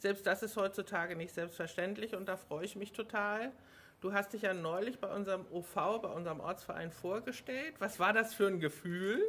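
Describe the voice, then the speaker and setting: This woman has a plain, everyday voice at medium pitch. She speaks at a moderate pace with ordinary pitch variation. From Hamburg. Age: 50s. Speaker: local party podcast host. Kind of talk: casual interview.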